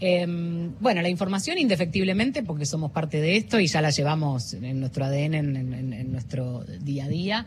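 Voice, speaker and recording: A woman with a very deep, low pitch talks at a moderate pace with very wide pitch swings, over noticeable background noise and audible room echo. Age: 40s. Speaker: journalist and news presenter. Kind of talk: interview. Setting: radio booth at a book fair.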